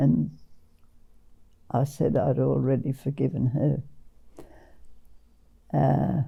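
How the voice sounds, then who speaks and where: With an Australian accent, a woman speaks at a very slow pace, leaving long, frequent pauses. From Western Australia. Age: 80s+. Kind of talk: interview answer.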